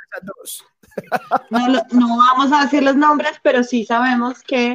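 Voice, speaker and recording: A woman with a high voice talks very slowly, with ordinary pitch variation. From Colombia, Bogotá. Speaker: stand-up comedian. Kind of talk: casual chat. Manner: soft-spoken.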